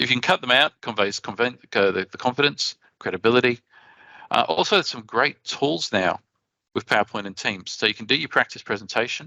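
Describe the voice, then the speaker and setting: A bright, sharp tone with an Australian accent at a fairly quick pace, dry and close with no echo. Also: man, medium pitch for a man, ordinary pitch variation. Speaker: conference speaker. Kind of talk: conference presentation. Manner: fast.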